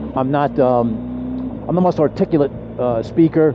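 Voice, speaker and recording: A man at medium pitch with noticeable background noise. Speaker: motorcycle vlogger. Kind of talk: casual vlog monologue. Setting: outdoors on a motorcycle. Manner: halting, stumbling for words.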